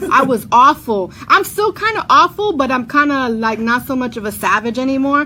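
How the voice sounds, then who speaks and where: Raising and projecting her high voice over noticeable background noise, a woman with a New York accent talks at a moderate pace with very wide pitch swings and hardly any pauses. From New York, Brooklyn. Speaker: radio host. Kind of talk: casual chat. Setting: studio.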